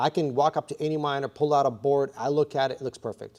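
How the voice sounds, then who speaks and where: Against a quiet background, a man with a slight Russian accent, a fairly high pitch, and a dark, mellow tone speaks at a fairly quick pace. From US (came from Russia at six). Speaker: bitcoin mining farm operator. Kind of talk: live stream Q&A tutorial. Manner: casual, with many fillers.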